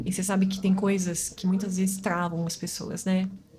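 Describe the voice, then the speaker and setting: A woman's medium-pitched voice carries audible room echo over noticeable background noise. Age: 40s. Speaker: physiotherapist. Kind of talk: interview.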